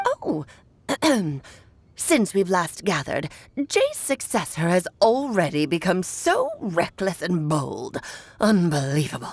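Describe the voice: Speaking in a put-on character voice, a woman with a medium pitch goes fairly slowly, taking long, frequent pauses.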